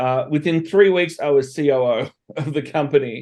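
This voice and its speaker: A man with an Australian accent. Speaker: entrepreneur and consultant. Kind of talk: podcast interview.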